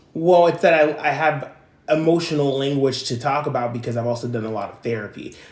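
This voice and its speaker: Audible room echo surrounds a man talking at a very fast pace. His pitch is fairly high. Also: ordinary pitch variation. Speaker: channel owner discussing coming out. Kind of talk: casual chat.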